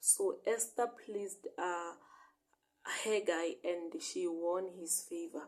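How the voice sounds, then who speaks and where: Her dark, mellow tone carries lively intonation as the woman speaks. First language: not English. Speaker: bible teacher. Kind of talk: bible study reading and interpretation. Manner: halting, self-correcting.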